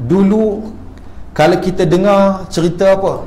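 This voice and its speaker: Amid noticeable background noise and audible room echo, a man speaks at a fairly slow pace in a high pitch. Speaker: preacher. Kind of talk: religious lecture. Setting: surau with audience. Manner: animated.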